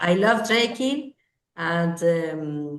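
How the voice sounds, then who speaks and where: A woman is speaking. She has a Spanish accent. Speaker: language student. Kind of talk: class conversation practice. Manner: halting, many hesitations.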